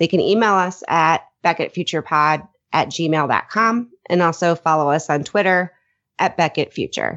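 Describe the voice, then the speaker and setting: A woman talks at a moderate pace in a plain, everyday voice. Her pitch is fairly low and her loudness very even. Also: ordinary pitch variation. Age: 30s. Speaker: podcast host. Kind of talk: casual chat.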